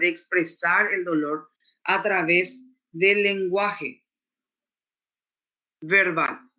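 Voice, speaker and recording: A man speaks in a raised, projected voice with a high pitch. His tone is bright and sharp, his intonation fairly even. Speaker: lecturer. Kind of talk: lecture.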